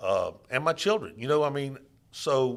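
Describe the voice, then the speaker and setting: Vocal fry from a man with a Louisiana accent, at a moderate pace. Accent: Louisiana Southern US. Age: 60s. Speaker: political candidate. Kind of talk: interview. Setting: studio.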